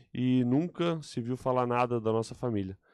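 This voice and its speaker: With a quiet background and a dry sound with no echo, a man speaks at a moderate pace with ordinary pitch variation. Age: 30s. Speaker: political candidate; candidate. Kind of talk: interview. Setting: radio studio. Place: studio. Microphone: studio mic.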